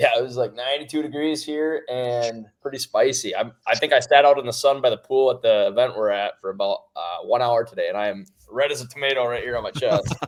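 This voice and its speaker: A man speaks with a Wisconsin accent. He talks at a fairly quick pace with hardly any pauses. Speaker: hunting seed company sales rep. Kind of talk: casual podcast interview.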